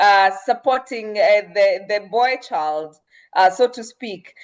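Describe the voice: A woman speaks slowly at a medium pitch. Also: lively intonation.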